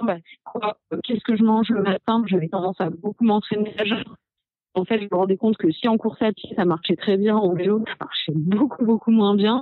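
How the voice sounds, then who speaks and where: A woman talks at a moderate pace and medium pitch, with ordinary pitch variation. There are long, frequent pauses and music in the background. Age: 30s. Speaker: cyclist and communications worker. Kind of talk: casual chat.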